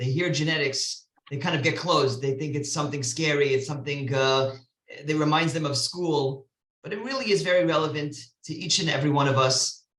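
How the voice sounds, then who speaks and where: Speaking fairly quickly, a man uses ordinary pitch variation at a fairly high pitch. He has a normal speaking voice. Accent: American. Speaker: rabbi. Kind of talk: lecture.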